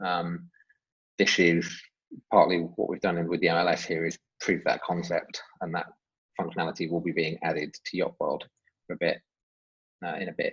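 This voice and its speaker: This man talks at a moderate pace with an English accent. He leaves long, frequent pauses. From England. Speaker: software development manager. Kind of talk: webinar Q&A. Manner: hesitant with fillers.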